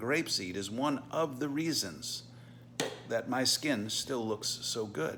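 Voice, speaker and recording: A man with vocal fry and a medium pitch talks very slowly, his intonation lively. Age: 60s. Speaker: supplement entrepreneur. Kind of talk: sales pitch.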